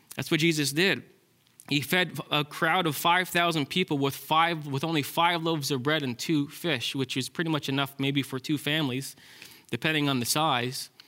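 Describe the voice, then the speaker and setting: A bright, sharp tone at a moderate pace, with fairly even intonation. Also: man. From Ontario, Canada. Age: 30s. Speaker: pastor. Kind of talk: sermon.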